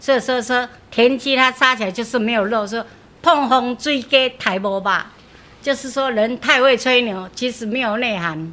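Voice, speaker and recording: A woman speaks at a moderate pace with high pitch. Her tone is bright and sharp, with ordinary pitch variation. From Taipei, Taiwan. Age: 60s. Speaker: grandmother sharing proverbs. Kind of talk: casual interview chat.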